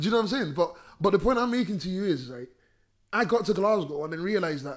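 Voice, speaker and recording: A man talks at a very fast pace and a high pitch, his animated voice full of lively intonation, big swings in loudness and long, frequent pauses. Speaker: rapper. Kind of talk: casual chat.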